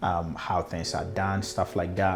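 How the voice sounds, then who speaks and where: Using a very deep, low pitch, a man with a Ghanaian accent speaks with fairly even intonation. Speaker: customer experience consultant. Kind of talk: personal story telling. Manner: halting, many fillers and repeated words.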